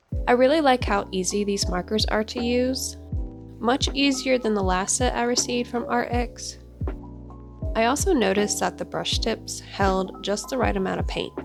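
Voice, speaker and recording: A woman is talking at a moderate pace. Background music runs beneath her words. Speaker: artist and stay-at-home mom. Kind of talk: art review voiceover. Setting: close-mic voiceover.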